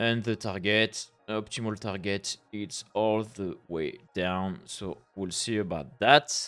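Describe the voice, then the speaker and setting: This man, speaking with a French accent in a fairly low voice, goes at a very slow pace yet leaves hardly any pauses. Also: ordinary pitch variation. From France. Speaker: forex trader streamer. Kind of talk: live trading stream commentary. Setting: live stream. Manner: halting, many fillers.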